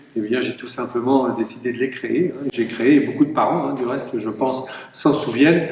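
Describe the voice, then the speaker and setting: Noticeable background noise behind a man speaking. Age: 60s. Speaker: mayor and election candidate. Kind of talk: campaign speech. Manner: hesitant, many filler sounds.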